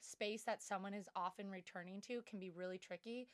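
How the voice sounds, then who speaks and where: A woman speaks in an unremarkable speaking voice at a medium pitch with fairly even intonation. The sound is dry and close, with no echo. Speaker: podcast co-host. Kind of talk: casual chat.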